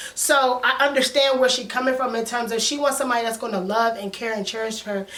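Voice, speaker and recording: A woman speaks fairly quickly in a high pitch with an animated tone and ordinary pitch variation. Noticeable background noise and audible room echo fill the recording. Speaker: TV show reviewer / YouTuber. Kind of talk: casual commentary vlog. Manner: fast.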